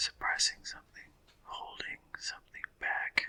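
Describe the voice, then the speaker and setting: Whispering at a very slow pace, the speaker keeps a relaxed tone. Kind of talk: ASMR whispered sleep podcast, rambling talk. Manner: whispering, relaxed, meandering.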